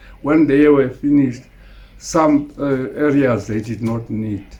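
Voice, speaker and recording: Speaking at a fairly slow pace, a man with a medium-pitched, dark and mellow tone sounds somewhat breathy, his pitch varying in an ordinary way while his loudness swings widely. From Eastern Cape, South Africa. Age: 80s+. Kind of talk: interview answer. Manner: hesitant, halting.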